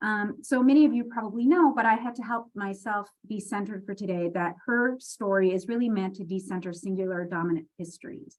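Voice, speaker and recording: Moving at a fairly quick pace, a woman speaks at medium pitch with ordinary pitch variation. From Quebec, Canada. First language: French. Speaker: library dean and leadership speaker. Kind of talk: personal leadership talk.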